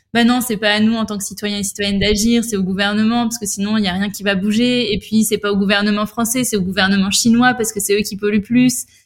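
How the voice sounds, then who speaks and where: Very fast, somewhat breathy speech with hardly any pauses and monotone, flat intonation. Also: woman, fairly high pitch for a woman. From western France, La Rochelle. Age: 20s. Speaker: environmental association co-founder. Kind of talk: interview conversation.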